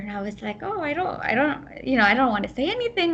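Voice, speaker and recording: Over noticeable background noise, a woman speaks in a high-pitched voice. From US Midwest, Ohio. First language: Gujarati. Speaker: program manager. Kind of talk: podcast interview.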